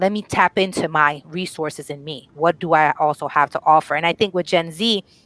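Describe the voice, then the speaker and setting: A normal speaking voice from a woman with a fairly low pitch, ordinary pitch variation and a moderate pace, recorded with a dry, close sound and no echo. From northern New Jersey, immigrant home. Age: 30s. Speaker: panelist representing millennials. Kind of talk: casual panel discussion.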